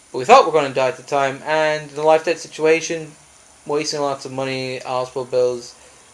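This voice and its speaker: Over noticeable background noise, a man with a fairly high pitch talks at a fairly quick pace with fairly even intonation. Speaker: traveller sharing his journey. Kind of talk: personal vlog monologue. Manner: fast.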